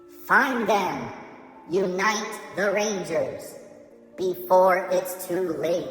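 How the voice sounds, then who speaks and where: Set against clear music in the background and clear echo, a put-on character voice at a middle pitch moves at a very slow pace. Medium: audio drama. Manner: earnest, urgent.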